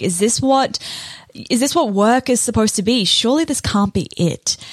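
A woman speaks with a New Zealand accent. Her pace is fairly quick. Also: dry, close sound with no echo. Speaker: podcast host, launch strategist. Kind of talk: solo podcast monologue, personal story.

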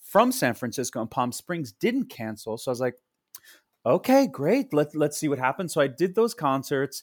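With an American accent, a man in an unremarkable speaking voice talks at a moderate pace, his fairly high pitch carried by lively intonation in a dry, close sound with no echo. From US Northeast, Long Island, New York. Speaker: Broadway actor and singer. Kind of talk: casual interview chat.

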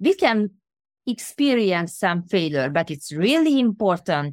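A woman with a Hungarian accent at a medium pitch, very slow, with very wide pitch swings and a dry, close sound with no echo. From Hungary. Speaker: transformation coach and author. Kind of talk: interview. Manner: halting.

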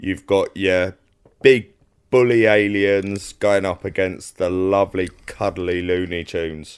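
A man speaks very slowly in a Cockney accent at a fairly low pitch. The recording is very clean, with a silent background. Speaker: podcast co-host.

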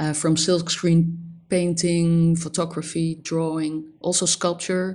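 A woman with a Dutch accent talks at a fairly low pitch and a fairly slow pace. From Netherlands, Amsterdam. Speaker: graphic designer. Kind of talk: interview. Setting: remote call. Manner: halting.

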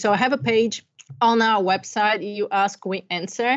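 A woman speaks with a Bulgarian accent. Her pitch is medium, with ordinary variation. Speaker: life coach. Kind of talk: interview.

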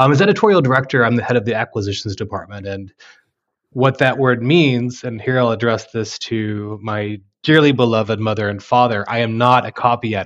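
A man in an ordinary speaking voice talks at a fairly quick pace, with medium pitch and ordinary pitch variation. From Texas Panhandle. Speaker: university press acquisitions editor. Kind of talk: interview conversation.

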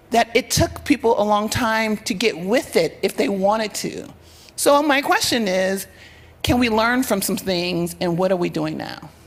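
A woman speaks at a fairly slow pace in a fairly high voice with lively intonation, over noticeable background noise. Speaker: audience member asking question. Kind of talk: audience question. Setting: stage with audience.

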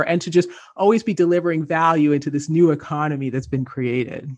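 A woman with a Canadian accent speaks at a fairly quick pace with ordinary pitch variation, in a plain, everyday voice. The background is quiet. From Canada. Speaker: entrepreneur and author. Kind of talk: interview.

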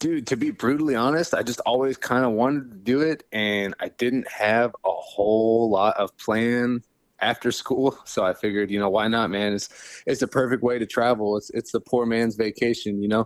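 On a very clean recording with a silent background and a dry, close sound with no echo, a man of medium pitch speaks at a moderate pace. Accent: Midwestern US. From Ohio, small town between Cleveland and Youngstown. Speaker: professional mixed martial artist. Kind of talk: casual interview chat. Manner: animated.

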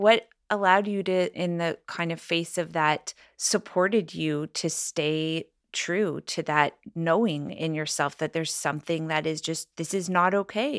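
This woman has an ordinary speaking voice, fairly low in pitch, with fairly even intonation at a fairly slow pace. The sound is dry and close with no echo, on a very clean recording with a silent background. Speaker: podcast host. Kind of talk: interview conversation. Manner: calm, soothing.

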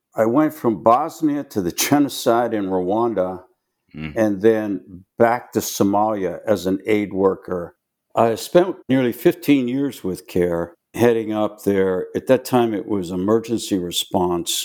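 A man with an American accent and an ordinary speaking voice, fairly low in pitch with lively intonation, on a very clean recording with a silent background. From Pittsburgh, Pennsylvania. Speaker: war veteran. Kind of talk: interview.

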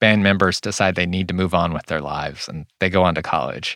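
In a very clean recording with a silent background, a man with a Californian accent speaks in a very deep, low pitch with a bright, sharp tone. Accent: Californian American English. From US West Coast, Whittier, California. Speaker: podcast host. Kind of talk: scripted narration.

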